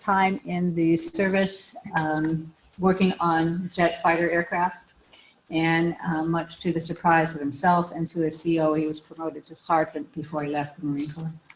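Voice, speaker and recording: Over noticeable background noise, a soft-spoken woman talks at a fairly low pitch with fairly even intonation. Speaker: widow giving eulogy. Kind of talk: eulogy. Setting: memorial service with audience. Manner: halting.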